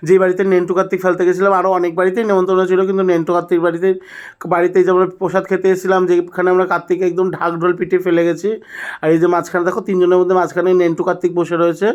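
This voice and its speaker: A man talks in an animated tone at a high pitch. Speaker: vlogger. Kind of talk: vlog voiceover narration. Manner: chatty, animated.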